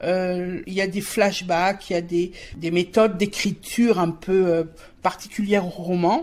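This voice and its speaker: A woman talks at a very slow pace. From Alsace, France. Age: 60s. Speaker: poet and writer. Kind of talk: interview. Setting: at her home. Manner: halting, many hesitations.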